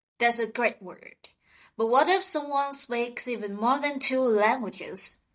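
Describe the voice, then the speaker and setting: A woman with a Vietnamese accent and a high pitch, at a fairly slow pace. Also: ordinary pitch variation, big swings in loudness. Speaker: podcast co-host. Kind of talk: scripted vocabulary lesson dialogue.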